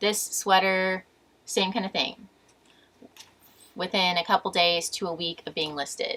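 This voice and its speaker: Her medium pitch shows ordinary variation as this woman speaks. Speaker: online reseller and thrift vlogger. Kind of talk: casual tutorial-style vlog.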